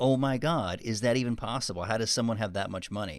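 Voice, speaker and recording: Medium pitch from a man, captured in a very clean recording against a silent background. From Texas. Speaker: podcast co-host. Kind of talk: casual chat.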